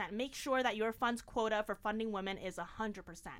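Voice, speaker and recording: A woman with a New York accent talks in an animated tone at a fairly high pitch. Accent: New York American. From Long Island, New York (born in China). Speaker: startup founder. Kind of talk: interview. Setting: small hot closet studio.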